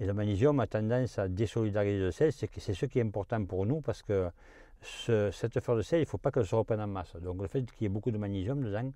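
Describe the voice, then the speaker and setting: A man's very fast, fairly low-pitched voice with a dark, mellow tone, ordinary pitch variation and a quiet background. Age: 70s. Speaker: salt farmer. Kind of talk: interview. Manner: halting, many hesitations.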